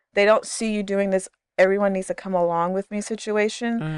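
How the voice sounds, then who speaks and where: With an American accent, the speaker talks at a moderate pace in a monotone, flat intonation. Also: woman. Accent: sounds American now. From Ghana, then the Bahamas, then US. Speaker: podcast guest. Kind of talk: casual chat.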